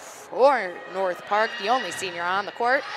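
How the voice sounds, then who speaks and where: With noticeable noise behind her, a woman talks, her pitch shifting in an ordinary way. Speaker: volleyball play-by-play commentator. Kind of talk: live commentary. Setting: courtside at a college fieldhouse with headsets. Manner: loud when play escalates; animated.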